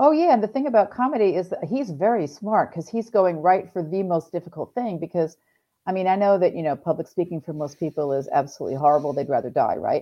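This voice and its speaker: Talking at a very fast pace, a woman uses a medium pitch with very wide pitch swings. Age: 50s. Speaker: comedian and entrepreneur. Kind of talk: casual chat. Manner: animated, frequent laughter.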